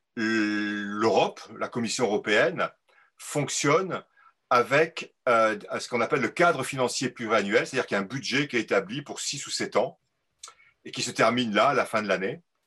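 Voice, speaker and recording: With an unremarkable speaking voice, a man talks at medium pitch and a moderate pace. His intonation is lively. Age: 60s. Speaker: agricultural economist. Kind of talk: live interview. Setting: video call.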